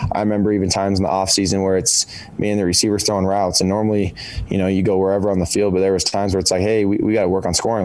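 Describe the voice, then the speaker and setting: A man talks at a very fast pace in a flat monotone, fairly low in pitch. Audible room echo and noticeable background noise surround him. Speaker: college football quarterback. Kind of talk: press conference.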